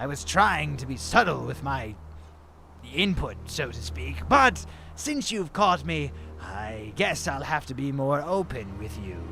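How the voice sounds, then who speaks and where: A man puts on a character voice, pitched fairly low. He talks at a fairly slow pace over clear background noise. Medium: machinima. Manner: smooth, insinuating, mock-polite.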